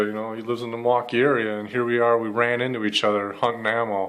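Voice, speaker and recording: A man with a Wisconsin accent talks at a very fast pace. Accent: Upper Midwest (Wisconsin) American. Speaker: YouTuber, ammo hunting vlogger. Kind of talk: casual vlog storytelling. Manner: casual, many fillers.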